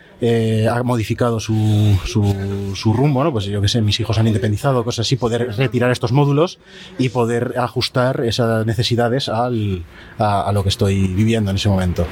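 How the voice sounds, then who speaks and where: Over noticeable background noise, a man talks at a moderate pace and medium pitch, his loudness very even. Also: ordinary pitch variation. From Spain, Zaragoza. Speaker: architect. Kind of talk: interview. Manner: halting.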